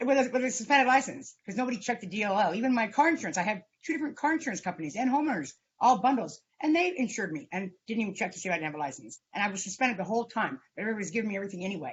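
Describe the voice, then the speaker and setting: Very fast and somewhat breathy, a woman talks in a fairly high pitch with very wide pitch swings. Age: 60s. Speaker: defendant. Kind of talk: court hearing. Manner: halting.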